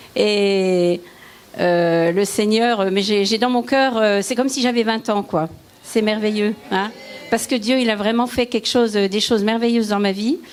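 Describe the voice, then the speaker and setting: A woman talks at a fairly slow pace in a fairly high voice. Her pitch varies in an ordinary way, and there is noticeable background noise. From eastern France (Lorraine, Vosges). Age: 70s. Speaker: churchgoer giving testimony. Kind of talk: testimony. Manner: halting.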